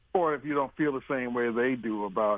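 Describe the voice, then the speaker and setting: In a Southern US accent, a man talks fairly quickly with fairly even intonation. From US South. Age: 50s. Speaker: caller. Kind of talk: casual chat. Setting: phone call.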